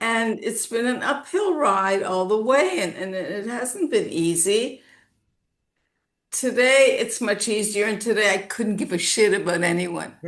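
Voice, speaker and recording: A woman with a Canadian accent speaks at a fairly slow pace in a normal speaking voice. Her pitch is fairly high and varies in an ordinary way. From Canada, Toronto. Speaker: naturopath. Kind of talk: casual chat.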